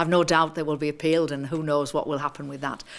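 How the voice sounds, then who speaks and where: A woman with a northern English accent speaks in a fairly low voice. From northern England. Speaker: activist and politician. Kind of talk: seminar talk. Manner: halting, many fillers.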